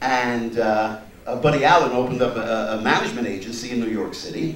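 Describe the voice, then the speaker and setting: A man talks fairly quickly at a medium pitch. Both room echo and background noise are noticeable. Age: 60s. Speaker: comedian. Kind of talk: speech at a party. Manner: animated.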